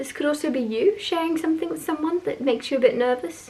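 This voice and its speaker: Lively intonation runs through speech delivered at a very fast pace, with noticeable background noise behind it. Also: woman. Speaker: tarot reader. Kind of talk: tarot reading monologue. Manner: casual, hesitant with fillers.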